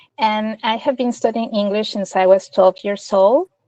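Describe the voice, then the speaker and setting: This woman has a fairly high pitch and a dark, mellow tone, with a Spanish accent. She talks at a moderate pace in a dry, close sound with no echo. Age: 40s. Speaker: interviewee, multilingual speaker. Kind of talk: interview.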